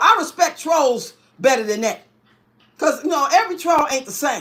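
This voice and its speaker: A woman talks loudly at a fairly quick pace in a high pitch. Her tone is animated. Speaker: YouTuber. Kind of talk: casual rant to viewers.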